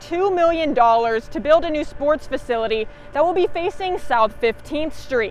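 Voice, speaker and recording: With ordinary pitch variation, a woman talks at a moderate pace amid noticeable background noise. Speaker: TV news reporter. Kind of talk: TV news reporting, standups and packages.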